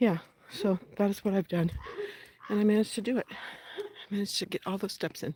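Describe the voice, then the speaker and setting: Fairly quick, somewhat breathy female voice at a medium pitch, with a dry, close sound and no echo. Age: 60s. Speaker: vlogger. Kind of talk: casual vlog monologue while walking. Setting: outdoors, walking in the desert. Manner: conversational, walking pace.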